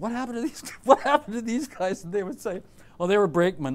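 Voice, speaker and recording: A man with a Canadian accent and lively intonation. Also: very clean recording, silent background. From southern Ontario, Canada. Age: 60s. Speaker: artist. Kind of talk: interview. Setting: classroom with audience. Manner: animated.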